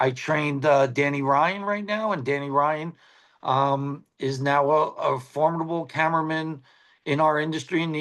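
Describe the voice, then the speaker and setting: An unremarkable speaking voice from a man, fairly high in pitch, at a moderate pace over a quiet background. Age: 60s. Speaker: TV sports cameraman. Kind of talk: casual chat.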